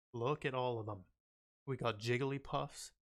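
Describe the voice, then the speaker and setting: In a very clean recording with a silent background, an unremarkable speaking voice keeps a moderate pace and fairly even intonation. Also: man. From Canada. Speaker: streamer reacting to music videos. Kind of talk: casual livestream chat. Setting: livestream.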